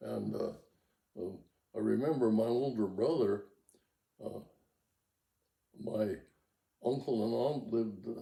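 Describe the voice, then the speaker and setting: With an American accent, a man talks at a moderate pace in a medium pitch, his dark, mellow tone touched by vocal fry and broken by long, frequent pauses. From Montana. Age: 80s+. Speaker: rancher. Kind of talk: oral history interview. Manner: halting.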